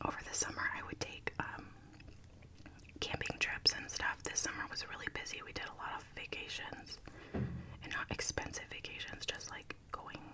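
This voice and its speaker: A moderate-paced whisper over noticeable background noise. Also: woman. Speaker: ASMR creator and working mother. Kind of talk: casual talk to camera, ASMR makeup tutorial. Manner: whispered, soft-spoken.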